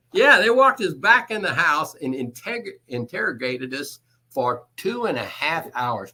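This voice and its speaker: At a moderate pace, a man with a Texan accent and fairly high pitch makes very wide pitch swings. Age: 70s. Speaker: construction executive and electrician. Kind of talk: interview answer.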